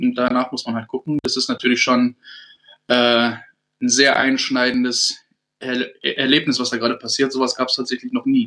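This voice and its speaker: A man talks in a flat, monotone way at a medium pitch and a moderate speed. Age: 30s. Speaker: navy petty officer. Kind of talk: casual chat. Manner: hesitant, many fillers.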